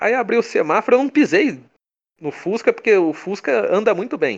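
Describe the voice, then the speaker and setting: This man speaks in a high pitch with a São Paulo interior accent. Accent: caipira (São Paulo countryside). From interior of São Paulo state, Brazil (São Carlos). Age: 20s. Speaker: comic creator. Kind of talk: casual interview chat.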